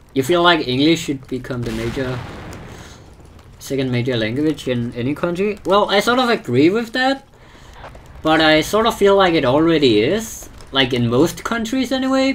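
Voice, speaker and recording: Behind speech at a moderate pace, noticeable background noise can be heard. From Denmark. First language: Danish. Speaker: gaming streamer. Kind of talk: casual chat. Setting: live stream. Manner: halting, repeats words.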